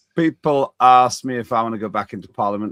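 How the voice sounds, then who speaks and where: Speaking very fast in a British accent, a man is heard in a dry, close sound with no echo on a very clean recording with a silent background. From United Kingdom. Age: 60s. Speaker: talk show host, former politician. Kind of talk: interview.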